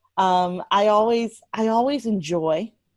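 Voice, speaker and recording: Using a normal speaking voice, a woman talks at medium pitch with ordinary pitch variation. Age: 30s. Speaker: entertainment lawyer. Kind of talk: casual interview.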